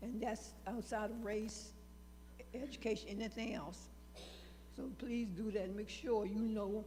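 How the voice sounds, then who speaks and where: Audible room echo surrounds the voice. A woman talks at a moderate pace. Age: 80s+. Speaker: audience member. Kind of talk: public comment.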